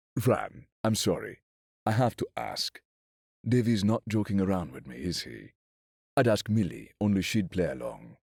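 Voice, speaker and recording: A man puts on a croaky character voice with fairly low pitch. He speaks at a moderate pace, with long, frequent pauses. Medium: read story.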